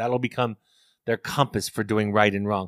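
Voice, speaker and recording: A man with an American accent speaks at a fairly quick pace in an ordinary speaking voice, with fairly even intonation, on a very clean recording with a silent background and a dry, close sound with no echo. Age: 50s. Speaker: family therapist and author. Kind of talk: interview. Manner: repeats words when thinking.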